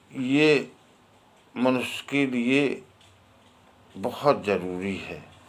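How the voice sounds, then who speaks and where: Speaking at a medium pitch with lively intonation, a man leaves long, frequent pauses in a very clean recording with a silent background. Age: 50s. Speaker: harmonium teacher. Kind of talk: tutorial talk.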